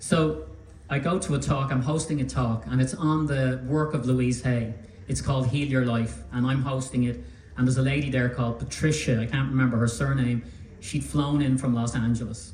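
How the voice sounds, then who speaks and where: A man with an Irish accent talks at a moderate pace, keeping his loudness very even and his pitch variation ordinary. There is audible room echo and noticeable background noise. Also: medium pitch for a man. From Ireland. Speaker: magazine publisher. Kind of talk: public talk.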